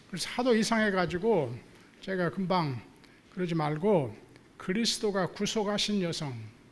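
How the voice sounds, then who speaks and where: Audible room echo surrounds a man who speaks at a high pitch and a moderate pace, with long, frequent pauses. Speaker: theology professor. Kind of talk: lecture. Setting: church hall with audience. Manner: halting with many fillers.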